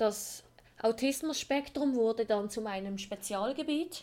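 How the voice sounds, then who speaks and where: Her pitch high and varying in an ordinary way, a woman speaks at a moderate speed. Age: 20s. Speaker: podcast host. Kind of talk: personal monologue.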